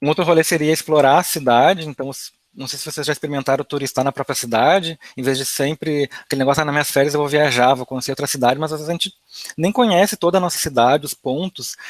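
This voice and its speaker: A man talks at a very fast pace with hardly any pauses and a fairly high pitch. The sound is dry and close, with no echo. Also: ordinary pitch variation. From Rio Grande do Sul, Brazil. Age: 20s. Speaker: advertising professional, financial education content creator. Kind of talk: online talk / webinar presentation. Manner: casual, conversational.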